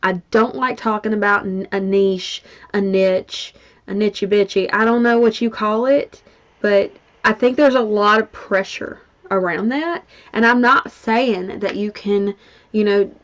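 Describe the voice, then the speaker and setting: This woman has a Mississippi accent and a fairly high pitch. She talks at a moderate pace with ordinary pitch variation. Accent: Mississippi Southern. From US South (Mississippi). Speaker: business coach. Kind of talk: online workshop. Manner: casual.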